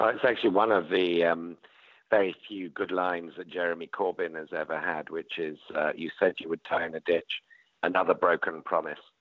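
A man with a British accent at a fairly quick pace. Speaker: panelist.

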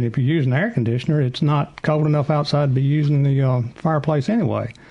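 The voice runs at a very fast pace, somewhat breathy, with a dark, mellow tone and ordinary pitch variation. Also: man. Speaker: chimney sweep expert. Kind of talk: call-in advice show.

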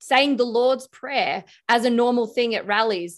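A woman talks with an Australian accent. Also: quiet background. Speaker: political commentator and former detective. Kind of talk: casual interview.

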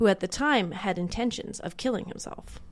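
In an unremarkable speaking voice, a woman with a medium pitch talks at a fairly quick pace on a very clean recording with a silent background. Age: 30s. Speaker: podcast host. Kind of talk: true crime narration.

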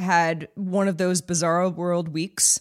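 On a very clean recording with a silent background, a woman with a normal speaking voice talks at medium pitch and a fairly slow pace. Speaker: podcast producer. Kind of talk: casual chat.

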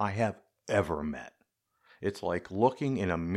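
Reading aloud in a natural voice, the speaker uses lively intonation. The background is quiet.

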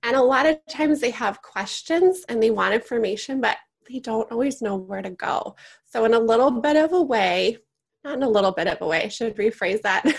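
A woman with an ordinary speaking voice and a fairly high pitch speaks at a fairly quick pace with lively intonation. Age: 40s. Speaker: podcast host and elder care resource founder. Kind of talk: interview.

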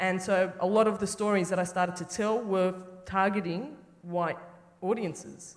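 The speaker talks at a moderate pace in an Australian accent. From western Sydney, Australia. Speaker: filmmaker. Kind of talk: panel conversation on stage. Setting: theatre stage with live audience.

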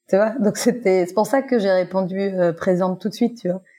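At a fairly quick pace, a woman talks in a dark, mellow tone at medium pitch, her intonation fairly even. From Guadeloupe. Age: 40s. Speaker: actress. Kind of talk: testimony.

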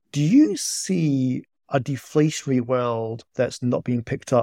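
With a Scottish accent, a man speaks at a fairly slow pace in a medium-pitched, dark, mellow voice with ordinary pitch variation. The sound is dry and close, with no echo. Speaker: podcast co-host, economist. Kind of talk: interview.

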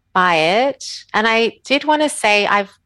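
Speaking very slowly with an Australian accent, a woman has a bright, sharp tone and lively intonation. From Australia (Sydney). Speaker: author and animal protection advocate. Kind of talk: casual interview chat. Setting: remote call from home.

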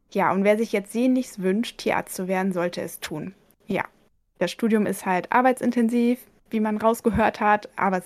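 Using a normal speaking voice, a woman talks at a moderate pace with a fairly high pitch and ordinary pitch variation, in a very clean recording with a silent background. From East Frisia, northern Germany. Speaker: veterinarian. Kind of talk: interview. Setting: home office.

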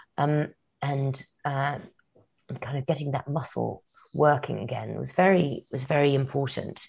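A woman's very deep, low voice with vocal fry over a quiet background. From grew up abroad (Kenya, Madagascar, Yemen, Morocco). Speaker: novelist. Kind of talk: interview.

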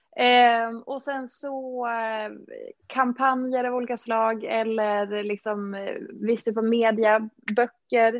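Her voice is fairly high for a woman, delivered with monotone, flat intonation. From Dalarna, Sweden. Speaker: fitness influencer and entrepreneur. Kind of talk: interview.

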